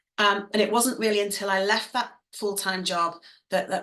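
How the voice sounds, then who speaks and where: A woman's medium-pitched voice with an English accent and a bright, sharp tone. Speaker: dance fitness business owner and coach. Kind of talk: online masterclass. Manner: fast; animated.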